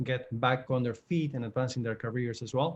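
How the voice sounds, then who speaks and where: A man with an Argentine accent speaks at a fairly quick pace in a medium pitch. His voice is somewhat breathy, with fairly even intonation. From Argentina, Buenos Aires. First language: Spanish. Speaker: career coach. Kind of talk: virtual panel webinar. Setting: video call.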